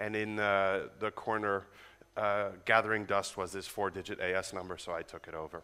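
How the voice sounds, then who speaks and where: In an American accent, a man with a fairly low pitch talks in a monotone, flat intonation with a bright, sharp tone. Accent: sounds American. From Netherlands. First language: Dutch. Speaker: network engineer and conference speaker. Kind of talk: conference talk. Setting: stage with audience. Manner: fast.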